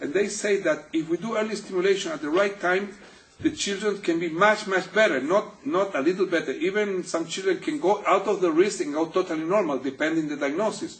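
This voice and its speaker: A man at a fairly quick pace, high-pitched, with lively intonation over noticeable background noise. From Chile, Santiago. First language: Spanish. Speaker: physical therapist. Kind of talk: interview. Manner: halting.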